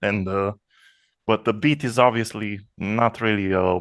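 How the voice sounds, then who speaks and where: The man speaks at a fairly slow pace. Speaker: electronic music producer. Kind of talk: casual chat. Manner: halting, many repetitions.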